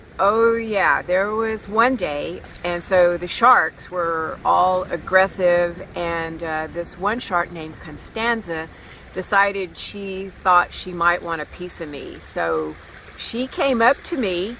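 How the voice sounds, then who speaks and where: Against noticeable background noise, a woman with a medium pitch talks at a very slow pace, her loudness swinging widely. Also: ordinary pitch variation. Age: 60s. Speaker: recreational tiger shark diver. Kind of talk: interview.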